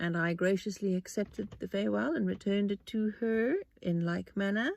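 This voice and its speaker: A woman with a South African accent, fairly quick, with very even loudness and ordinary pitch variation. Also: medium pitch for a woman. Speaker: podcast host. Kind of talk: casual monologue. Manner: halting.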